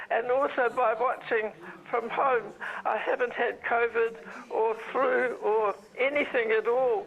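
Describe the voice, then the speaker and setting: Fairly slow and with fairly even intonation, a woman speaks in a fairly high pitch with a New Zealand accent. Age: 90s. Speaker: viewer and donor. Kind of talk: phone call chat.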